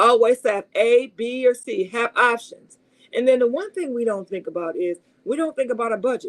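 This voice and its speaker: High-pitched and animated, a woman's voice swings very widely in pitch, with a dry, close sound and no echo. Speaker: car salesperson and video host. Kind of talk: live stream advice talk. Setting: live stream. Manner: fast.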